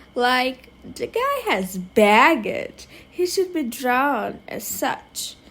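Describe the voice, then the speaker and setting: A woman delivers her words very slowly while noticeable noise sits in the background. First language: not English. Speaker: digital artist. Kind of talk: tutorial voiceover. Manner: casual, filler-heavy.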